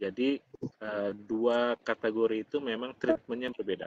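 The sound is dry with no echo as a man speaks at a moderate pace with fairly even intonation. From Indonesia. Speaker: presenter. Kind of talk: webinar Q&A. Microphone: video call.

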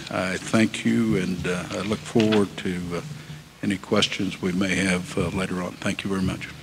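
At a moderate pace, a speaker with an American accent talks with ordinary pitch variation over noticeable background noise. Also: man. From US Midwest. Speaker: railroad executive. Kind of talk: speech. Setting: stage with audience.

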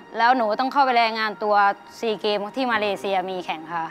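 A woman speaks with ordinary pitch variation. Faint music sits in the background. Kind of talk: personal story told on TV show. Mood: earnest, emotional. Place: stage.

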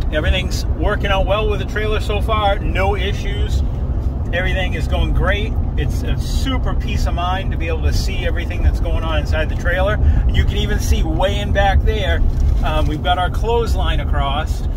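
A man speaks at a moderate pace over loud background noise, the sound dry with no echo. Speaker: road trip vlogger. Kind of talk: casual vlog chat. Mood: relaxed, pleased. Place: car. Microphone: phone near.

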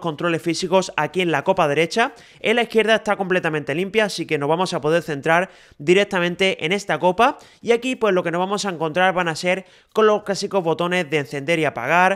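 Every word arrives very fast, captured on a very clean recording against a silent background. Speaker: tech reviewer. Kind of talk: product review. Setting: outdoors.

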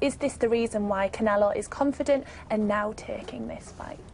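A woman with a fairly high pitch talks at a moderate pace with fairly even intonation, with noticeable background noise behind her. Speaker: sports podcast host. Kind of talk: casual chat. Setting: studio.

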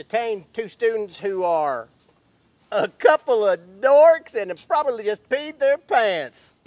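The speaker moves at a fairly slow pace with very wide pitch swings. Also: man. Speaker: actor playing campus officer. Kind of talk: scripted comedic dialogue. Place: open country.

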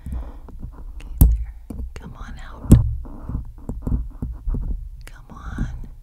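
A woman is whispering at a very slow pace. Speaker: ASMR creator. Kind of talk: soft ASMR whisper chat. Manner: soft murmured coaxing near mic. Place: home room. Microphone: studio mic.

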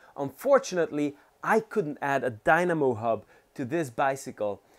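A man keeps a moderate pace, and the background around him is quiet. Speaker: cycling channel host. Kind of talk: tutorial. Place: home room. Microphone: lapel.

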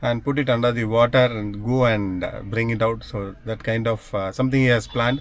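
A man keeps a moderate pace, and the sound is dry with no echo. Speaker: family vlogger. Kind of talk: casual vlog chat. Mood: cheerful, relaxed. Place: car. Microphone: phone near.

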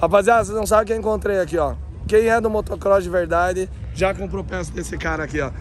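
A man talks at a very fast pace, his voice dry with no echo over light background noise. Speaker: motocross vlogger and riding instructor; motocross vlogger, riding instructor. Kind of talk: casual vlog commentary at event. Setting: outdoors at racetrack. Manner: animated. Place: open country. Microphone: phone near.

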